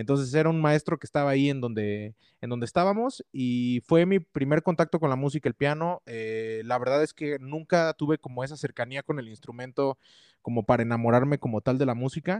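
A man has an ordinary speaking voice, fairly high in pitch with ordinary pitch variation. He talks at a fairly quick pace with a dry, close sound with no echo. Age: 20s. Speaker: musician and music teacher. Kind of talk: casual chat.

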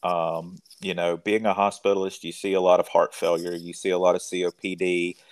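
Recorded very cleanly with a silent background and a dry, close sound with no echo, a man speaks at a moderate pace. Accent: Mississippi. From rural Mississippi, US South. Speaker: physician. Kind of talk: interview.

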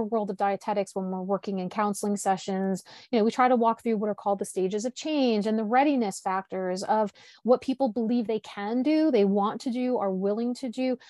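In a quiet background, a woman speaks at a fairly high pitch with ordinary pitch variation. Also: dry, close sound with no echo. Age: 50s. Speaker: podcast host. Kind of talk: casual interview chat.

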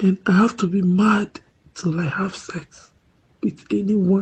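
Somewhat breathy and dark, mellow in tone, the voice moves at a very slow pace with ordinary pitch variation. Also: woman. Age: 40s. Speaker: viewer giving testimony. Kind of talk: testimony.

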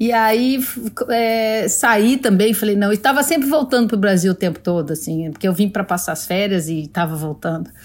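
A woman with an ordinary speaking voice at a medium pitch talks at a moderate pace with lively intonation, in a very clean recording with a silent background. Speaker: TV executive producer. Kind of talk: casual interview.

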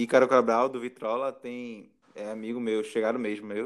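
In a monotone, flat delivery, a man speaks at a medium pitch and moderate pace. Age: 20s. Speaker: podcast host. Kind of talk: casual interview chat.

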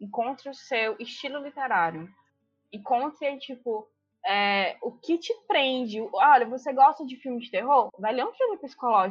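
Intonation rises and falls in a lively way while the loudness swings sharply. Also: woman, high pitch for a woman, moderate pace. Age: 20s. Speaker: law student, book lover. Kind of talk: casual chat.

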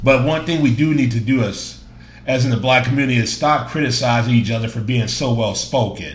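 At a fairly quick pace, a man talks in a medium pitch with ordinary pitch variation.

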